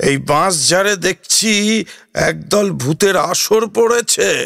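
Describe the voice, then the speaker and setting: A man puts on a character voice, pitched high. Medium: read story. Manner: confident, folksy.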